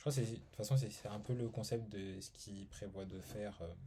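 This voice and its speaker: A man with a fairly low pitch and a dark, mellow tone speaks at a moderate pace, somewhat breathy and with ordinary pitch variation, amid audible room echo. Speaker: YouTuber reviewing art books. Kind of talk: casual video review. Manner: hesitant, many fillers.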